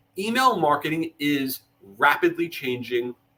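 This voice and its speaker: A man speaks with a bright, sharp tone and a fairly high pitch. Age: 40s. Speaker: marketing agency executive. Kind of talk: webinar presentation. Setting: LinkedIn live stream. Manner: fast; animated.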